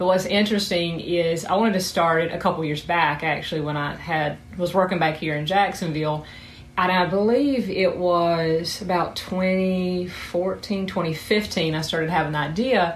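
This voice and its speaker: Speaking with a Southern US accent, a woman keeps a fairly low pitch, fairly even intonation and a moderate pace. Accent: Southern US, noticeable. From South Georgia, US. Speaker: sex therapist and psychotherapist. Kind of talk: casual interview answers.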